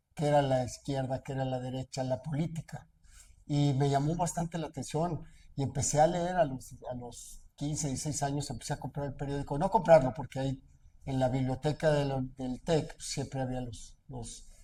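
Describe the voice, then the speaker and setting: A man speaks with a dark, mellow tone, somewhat breathy and with fairly even intonation. The recording is very clean, with a silent background. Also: fairly high pitch for a man, moderate pace. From central Mexico, Aguascalientes region. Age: 60s. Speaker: businessman and aspiring politician. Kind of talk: interview. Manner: hesitant, many fillers.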